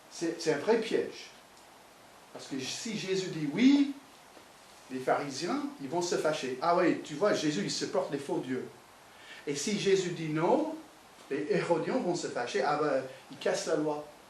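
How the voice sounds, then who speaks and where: A man's high-pitched voice at a fairly slow pace, with long, frequent pauses, very wide pitch swings and big swings in loudness, amid audible room echo and noticeable background noise. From United States. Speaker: pastor. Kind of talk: sermon. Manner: animated.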